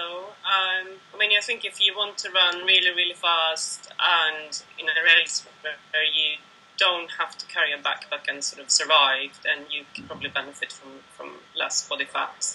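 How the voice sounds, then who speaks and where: A woman with a Swedish accent speaks at a fairly low pitch and a moderate pace. Her intonation is lively, with big swings in loudness. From Sweden. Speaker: ultramarathon runner, running coach. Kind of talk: interview answer. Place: home room. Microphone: video call.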